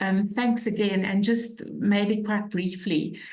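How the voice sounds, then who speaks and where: A woman's somewhat breathy voice in a South African accent, with audible room echo. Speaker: social work academic. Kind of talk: webinar discussion.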